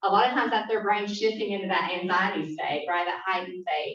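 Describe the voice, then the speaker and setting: Her speech moves fairly quickly. The speaker is a woman. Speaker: neurofeedback business owner, guest speaker. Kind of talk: presentation to a club meeting. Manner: fast.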